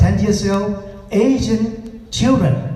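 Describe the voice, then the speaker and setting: This man talks very slowly. Room echo is audible, along with noticeable background noise. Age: 70s. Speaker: retired social worker. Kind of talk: audience comment at community forum. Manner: halting.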